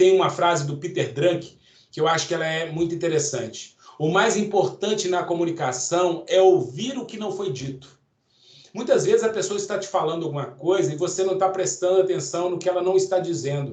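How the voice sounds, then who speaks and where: A loud voice at a fairly quick pace, with ordinary pitch variation and audible room echo. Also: man, high pitch for a man. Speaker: course instructor. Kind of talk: lecture. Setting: online event. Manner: intense.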